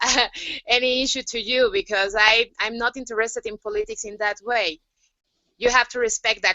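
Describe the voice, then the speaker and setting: A woman speaks with a Spanish accent. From Mexico. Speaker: youth activist. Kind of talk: panel discussion. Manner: halting, many fillers.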